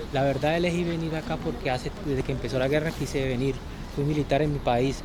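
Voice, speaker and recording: A man with a Colombian accent and a fairly high voice speaks at a very fast pace in a monotone, flat intonation, with very even loudness. Noticeable background noise and audible room echo fill the recording. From Colombia, Cúcuta. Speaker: soldier. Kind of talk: street interview.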